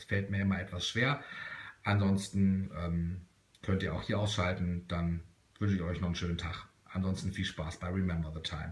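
At a moderate pace, a man speaks in a monotone, flat delivery with a very deep, low pitch. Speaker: music collector and reviewer. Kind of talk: casual talk to camera. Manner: chatty, hesitant with fillers.

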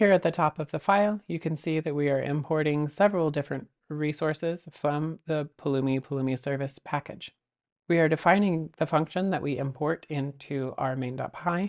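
In a quiet background, a woman with a very deep, low pitch speaks at a moderate pace with ordinary pitch variation. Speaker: presenter. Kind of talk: tutorial. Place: home room.

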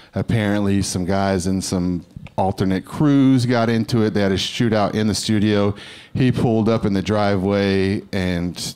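In a normal speaking voice, someone talks at a moderate pace with fairly even intonation against a quiet background. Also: man, fairly low pitch for a man. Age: 30s. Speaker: comedian. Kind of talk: stand-up; stand-up set and panel interview answers. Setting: stage with audience. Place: stage. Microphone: handheld.

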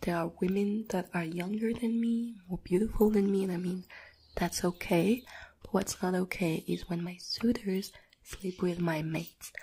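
Soft-spoken and somewhat breathy, a woman talks at a moderate pace with fairly even intonation. Light background noise can be heard. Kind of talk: soft-spoken roleplay chat to viewer. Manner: soft close-mic ASMR speech, indignant. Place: home room. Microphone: studio mic.

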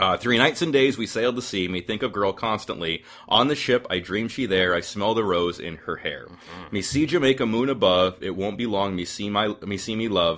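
This is an ordinary speaking voice at a fairly quick pace, with ordinary pitch variation and hardly any pauses. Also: man, fairly low pitch for a man. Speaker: podcast host. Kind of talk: casual interview chat.

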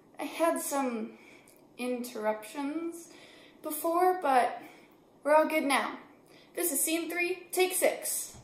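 Amid audible room echo, a woman speaks at a very slow pace with long, frequent pauses, an extremely high pitch and ordinary pitch variation. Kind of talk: casual vlog chat. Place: home room. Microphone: phone near.

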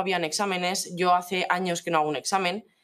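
She speaks at a moderate pace. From Navarre, Spain (La Ribera area); Navarre, Spain. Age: young. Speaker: student; interviewee. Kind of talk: interview. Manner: halting, many fillers and repeated words. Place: classroom.

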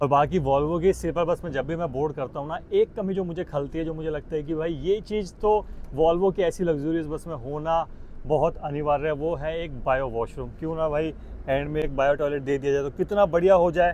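A man speaks at a moderate pace with a dark, mellow tone and fairly even intonation, the sound dry with no echo over light background noise. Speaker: travel vlogger. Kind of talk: casual vlog chat. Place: bus. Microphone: phone near.

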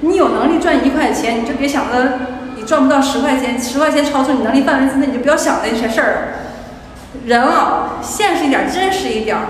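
Noticeable background noise runs under a woman's high-pitched voice. She talks at a fairly quick pace with ordinary pitch variation. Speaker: vlogger. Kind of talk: casual vlog monologue. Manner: animated, venting, colloquial.

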